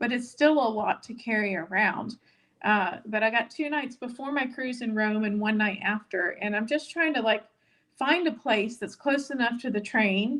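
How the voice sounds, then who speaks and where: A plain, everyday voice carries ordinary pitch variation while moving at a moderate pace. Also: woman, fairly high pitch for a woman. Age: 50s. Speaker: weight-loss vlogger. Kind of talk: live stream chat reading viewer comments. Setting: live stream. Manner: casual, many filler words.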